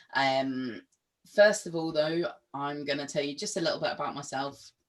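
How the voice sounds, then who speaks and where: The woman's pitch is very deep and low. She talks at a moderate pace. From England. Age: 20s. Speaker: mental health and wellbeing trainer. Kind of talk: webinar talk. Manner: many filler ums.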